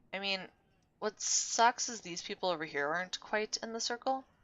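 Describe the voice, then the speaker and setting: At a moderate pace, a soft-spoken woman talks. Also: long, frequent pauses. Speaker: gaming video creator. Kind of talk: let's play commentary. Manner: casual, hesitant.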